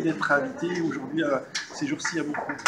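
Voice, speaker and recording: A man speaks at a high pitch with very wide pitch swings. Background noise is noticeable and the room echo is audible. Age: 60s. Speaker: novelist. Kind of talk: interview. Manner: halting.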